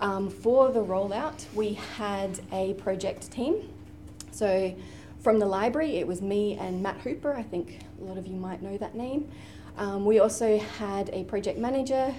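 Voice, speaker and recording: A woman with an Australian accent at a fairly slow pace, over light background noise. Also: ordinary pitch variation. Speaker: university librarian. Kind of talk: conference panel presentation. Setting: stage with audience. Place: meeting room.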